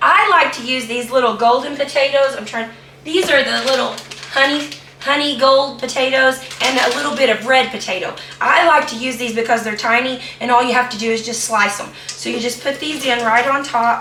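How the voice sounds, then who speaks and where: A woman with an American accent projects a raised, high-pitched voice with fairly even intonation, amid noticeable background noise and audible room echo. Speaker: home cooking video host. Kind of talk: cooking tutorial. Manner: casual, hesitant with fillers.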